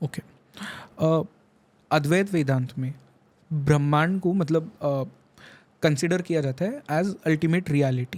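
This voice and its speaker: This man's pitch is fairly high and moves in an ordinary way. Long pauses come often in his speech. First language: not Hindi-dominant, weak Hindi (speaking Hindi). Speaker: podcast host. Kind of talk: podcast interview.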